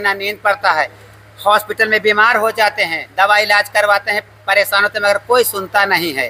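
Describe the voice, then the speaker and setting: Projecting a raised voice, a high-pitched man speaks at a moderate pace with a monotone, flat intonation and a dry, close sound with no echo. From Ekauna, Shravasti, eastern Uttar Pradesh. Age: 70s. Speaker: resident facing demolition notice. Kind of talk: street interview complaint.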